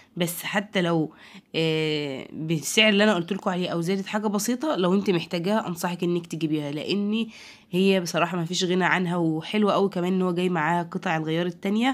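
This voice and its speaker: In an Egyptian accent, a woman speaks at a fairly low pitch with fairly even intonation. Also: fairly quick pace. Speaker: home product reviewer. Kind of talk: product review. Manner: halting.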